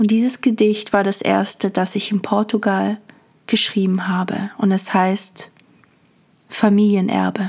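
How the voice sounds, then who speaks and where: Calm and soothing in tone, a woman with a medium pitch and a somewhat breathy voice speaks at a fairly slow pace in a monotone, flat way, with long, frequent pauses. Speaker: podcast host and poet. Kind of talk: poetry reading, meditative. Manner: slow, calm, soothing, lyrical; warm, intimate.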